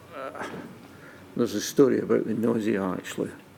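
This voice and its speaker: Fairly even intonation in a man's fairly low voice. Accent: Scottish. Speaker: witness at public inquiry. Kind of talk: testimony.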